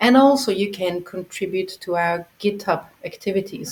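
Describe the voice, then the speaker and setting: The pace here is moderate. An non-native accent is heard. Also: woman. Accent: noticeable non-native. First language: not English. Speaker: project founder handling funding. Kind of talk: community call presentation. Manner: hesitant, with fillers.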